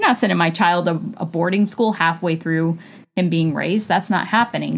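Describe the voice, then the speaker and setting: A woman's somewhat breathy, fairly low voice at a fairly quick pace, with fairly even intonation and a very clean recording over a silent background. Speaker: co-host, wife. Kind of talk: casual conversational podcast discussion.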